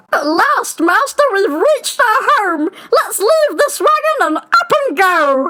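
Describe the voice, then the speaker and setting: Squeaky and extremely high, the put-on character voice swings very widely in pitch at a fairly slow pace with hardly any pauses. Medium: read story.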